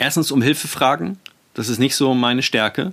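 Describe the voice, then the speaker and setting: At a fairly quick pace, a man speaks with a medium pitch and ordinary pitch variation. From Germany. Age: 40s. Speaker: podcast host, self-management coach. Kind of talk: solo podcast monologue. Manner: hesitant, many fillers.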